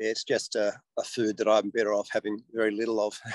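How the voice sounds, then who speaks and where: A dry, close sound with no echo around a man speaking at a moderate pace. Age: 60s. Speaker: interview guest sharing health experience. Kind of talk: casual interview.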